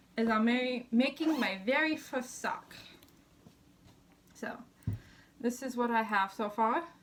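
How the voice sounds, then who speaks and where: Noticeable background noise surrounds a woman speaking at a high pitch with ordinary pitch variation. Her pace is fairly slow, broken by long, frequent pauses. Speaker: crafting vlogger. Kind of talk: casual show-and-tell vlog.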